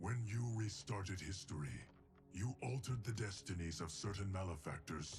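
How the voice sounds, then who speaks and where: A man's put-on character voice, very deep and low in pitch, with lively intonation, a moderate pace, very even loudness and clear background noise. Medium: video game. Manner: solemn, formal.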